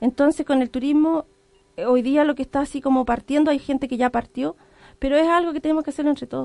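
This woman talks at a very fast pace in a high pitch, with a dark, mellow tone, fairly even intonation, and a dry, close sound with no echo. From Arauco, Chile. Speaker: tourism operator. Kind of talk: radio interview.

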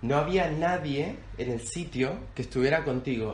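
A man speaks at a fairly slow pace and fairly high pitch with lively intonation. His voice is somewhat breathy, and audible room echo surrounds it. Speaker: podcast co-host. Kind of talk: casual chat.

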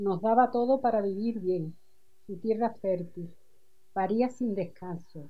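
The voice is somewhat breathy, with ordinary pitch variation. It moves at a very slow pace. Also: woman, medium pitch for a woman. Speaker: adult education student. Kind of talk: reading aloud personal writing. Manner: halting.

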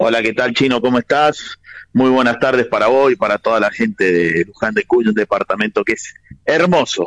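A man speaks at a moderate pace with very even loudness, and the sound is dry and close with no echo. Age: 40s. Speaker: basketball journalist. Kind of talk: radio interview.

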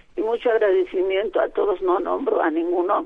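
Very wide pitch swings in a woman's voice. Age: 80s+. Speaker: caller sharing memories. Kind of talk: phone testimony.

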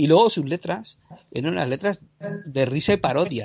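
A normal speaking voice from a man, fairly high in pitch, with lively intonation and a moderate pace. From Canary Islands, Spain. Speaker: short filmmaker and podcaster. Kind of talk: casual interview chat.

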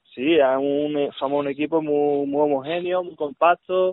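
This man talks at a moderate pace in a plain, everyday voice. His intonation stays fairly even. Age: 20s. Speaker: futsal player. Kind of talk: radio interview.

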